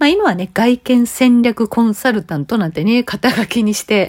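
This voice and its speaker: A woman's fairly high-pitched voice in a dry, close sound with no echo. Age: 50s. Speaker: image consultant and podcast host. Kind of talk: solo monologue podcast. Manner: conversational, many fillers.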